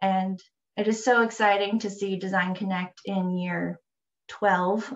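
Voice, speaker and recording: The speaker is a somewhat breathy woman. Her delivery is fairly slow. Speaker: landscape architect; presenter. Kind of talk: presentation. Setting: video call. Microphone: video call.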